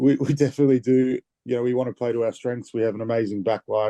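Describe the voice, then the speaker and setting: At a very fast pace, a man with an Australian accent speaks in a dark, mellow tone with fairly even intonation, in a dry, close sound with no echo. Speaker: rugby player. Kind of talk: interview.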